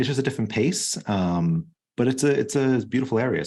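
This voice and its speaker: A man with an American accent talks at a fairly quick pace, with ordinary pitch variation. The recording is very clean, with a silent background. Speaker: cybersecurity executive. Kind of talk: podcast interview. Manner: fast.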